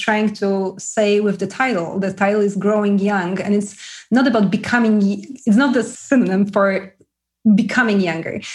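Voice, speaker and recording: The speaker, with a Polish accent, sounds somewhat breathy, keeping the loudness very even and the intonation fairly even. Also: woman. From Poland. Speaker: author. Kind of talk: interview chat.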